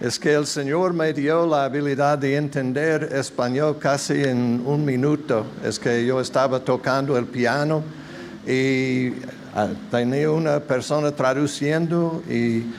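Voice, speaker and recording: Very slow and very even in loudness, a man's fairly high voice carries audible room echo and noticeable background noise. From United States. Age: 70s. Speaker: visiting pastor. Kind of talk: sermon. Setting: church.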